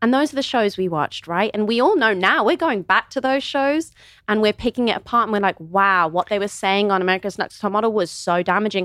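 A woman in a Midlands accent speaks at a very fast pace with lively intonation and very even loudness. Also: medium pitch for a woman. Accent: British English, Midlands. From England, Kidderminster (West Midlands). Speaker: model and influencer. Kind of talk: casual interview chat.

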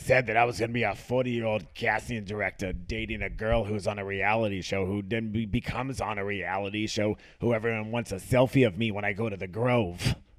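A man performs a put-on character voice, raspy and fairly low in pitch. He moves at a fairly quick pace in a very clean recording with a silent background. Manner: comic, exaggerated.

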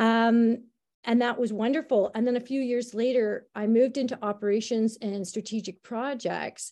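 In a quiet background, a woman with a Canadian accent speaks at a moderate pace, her fairly high pitch carrying a dark, mellow tone and fairly even intonation. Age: 50s. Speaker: school administrator. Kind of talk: interview conversation. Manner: hesitant, many fillers.

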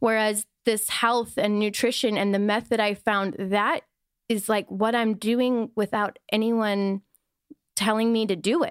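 A woman with an American accent and an ordinary speaking voice, fairly high in pitch, fairly slow, with fairly even intonation, recorded dry and close with no echo in a very clean recording with a silent background. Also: very even loudness. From US Midwest, Wisconsin. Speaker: wellness influencer. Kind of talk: casual chat.

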